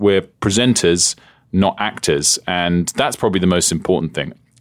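A man with a British accent speaks at a fairly quick pace on a very clean recording with a silent background. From England. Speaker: TV journalist and broadcaster. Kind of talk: interview conversation.

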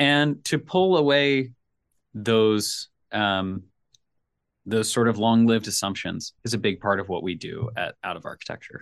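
In a plain, everyday voice, a man with an American accent talks at a fairly slow pace. His intonation is lively, and the background is quiet. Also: medium pitch for a man. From US South, Nashville, Tennessee. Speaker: career consultant and designer. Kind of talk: interview conversation.

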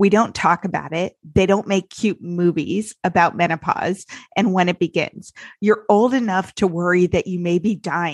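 A woman with an unremarkable speaking voice talks at a moderate pace and medium pitch, with fairly even intonation. The sound is dry and close with no echo, over a quiet background. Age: 40s. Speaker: podcast host and sobriety life coach. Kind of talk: casual interview.

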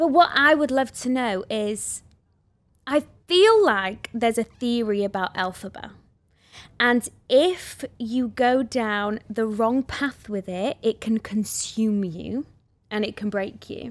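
A woman with a Welsh accent, a fairly high pitch, ordinary pitch variation and a very slow pace on a very clean recording with a silent background. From Wales. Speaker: podcast host and musical theatre actress. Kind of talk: casual chat. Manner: animated.

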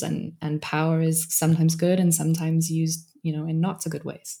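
In a British accent, a woman speaks at a fairly quick pace with a fairly low pitch and a dark, mellow tone. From Britain. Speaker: organizational coach and author. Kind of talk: interview conversation.

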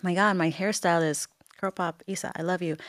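The speaker has a Puerto Rican accent. The intonation stays fairly even. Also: woman. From Puerto Rico, Bayamon. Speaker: entrepreneur and social media personality. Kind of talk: interview conversation.

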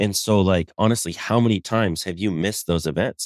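A normal speaking voice with an American accent moves at a fairly quick pace, sounding dry and close with no echo on a very clean recording with a silent background. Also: man. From Colorado. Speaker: excavation business owner. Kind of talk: casual chat.

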